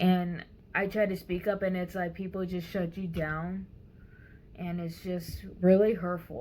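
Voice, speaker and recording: Fairly slow, somewhat breathy speech in a dark, mellow tone with monotone, flat intonation. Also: woman, medium pitch for a woman. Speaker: vlogger. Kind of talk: personal vlog monologue. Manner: hesitant, many fillers.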